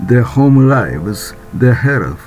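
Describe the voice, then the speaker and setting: Very slow delivery with ordinary pitch variation and music in the background. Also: man. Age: 70s. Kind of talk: informational narration.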